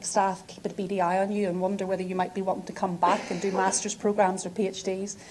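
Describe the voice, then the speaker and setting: Woman with a Northern Irish accent at a very fast pace. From Northern Ireland, Belfast. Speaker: physiotherapy professor. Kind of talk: academic lecture.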